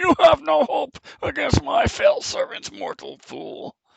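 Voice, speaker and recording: In an exaggerated, put-on character voice, the delivery moves along fairly slowly. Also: man, extremely high pitch for a man. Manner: menacing, taunting.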